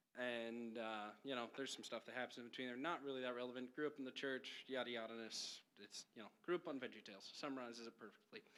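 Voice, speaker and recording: The speaker has a bright, sharp tone and fairly even intonation. The pace is very fast. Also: man, medium pitch for a man. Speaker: college student giving testimony. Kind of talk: testimony.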